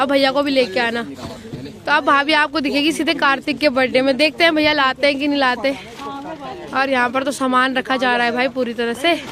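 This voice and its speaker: A woman speaks in a raised, projected voice at a high pitch and moderate pace. Her intonation is fairly even, and there is noticeable background noise. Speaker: family vlogger. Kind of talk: casual vlog narration.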